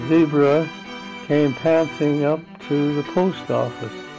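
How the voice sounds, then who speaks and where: With music playing in the background, a man talks very slowly in a fairly high pitch. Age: 80s+. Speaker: great-grandfather. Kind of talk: children's story read-aloud. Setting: home recording.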